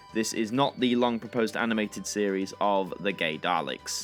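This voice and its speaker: Music plays in the background as a man speaks at a fairly low pitch and moderate pace, with ordinary pitch variation and very even loudness. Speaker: YouTube presenter. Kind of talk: casual news commentary to camera.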